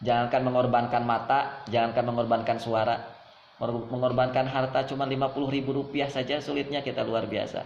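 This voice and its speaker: Over noticeable background noise and audible room echo, a man speaks fairly quickly at a medium pitch in a monotone, flat way. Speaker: Islamic preacher. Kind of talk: religious lecture.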